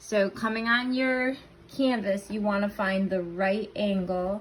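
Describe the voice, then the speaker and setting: Somewhat breathy and fairly high-pitched, a woman talks with fairly even intonation. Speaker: painting instructor. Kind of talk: tutorial. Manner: casual, conversational.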